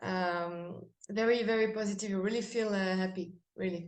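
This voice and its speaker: Speaking in a French accent, a woman talks at a fairly slow pace with medium pitch and ordinary pitch variation. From France. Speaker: metal band singer. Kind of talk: interview. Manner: halting.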